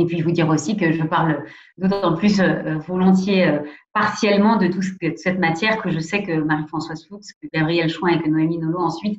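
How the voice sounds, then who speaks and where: This woman talks at a fairly quick pace. Her intonation is monotone and flat. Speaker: president of a national anti-abuse commission. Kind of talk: lecture. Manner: hesitant, many fillers.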